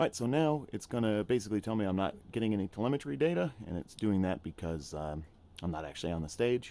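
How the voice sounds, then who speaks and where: A man with an American accent, fairly low in pitch, dark and mellow in tone, with very wide pitch swings at a very fast pace. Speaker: gaming YouTuber. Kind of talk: tutorial. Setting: home, playing a VR sim game. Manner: casual, filler-heavy.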